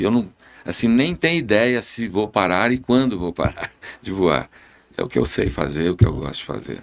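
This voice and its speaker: Using vocal fry, a man with a fairly low pitch talks at a moderate pace with very wide pitch swings. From Brazil, Goiás. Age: 70s. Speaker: airline pilot. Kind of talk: podcast interview.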